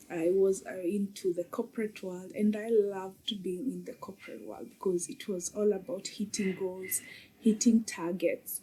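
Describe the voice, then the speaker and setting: A woman's medium-pitched, somewhat breathy voice with a Kenyan accent, dark and mellow in tone, with big swings in loudness, ordinary pitch variation and a moderate pace. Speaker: mom coach. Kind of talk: podcast interview. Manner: hesitant with many fillers.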